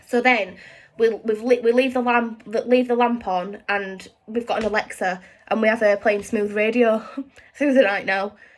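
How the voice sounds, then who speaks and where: The woman speaks in a Yorkshire accent at a fairly high pitch. Her intonation is monotone and flat. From Yorkshire, England. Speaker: lifestyle vlogger. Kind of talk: casual chat. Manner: fast, with many fillers and restarts.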